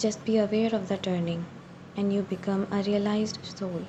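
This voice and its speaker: A woman speaks at a moderate pace in a medium pitch with ordinary pitch variation. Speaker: narrator. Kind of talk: guided meditation narration.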